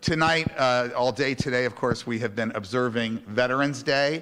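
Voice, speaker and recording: A man is speaking at a moderate pace. Noticeable background noise runs behind him. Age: 60s. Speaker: rabbi. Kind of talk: religious service. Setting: congregation service, live streamed. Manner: halting.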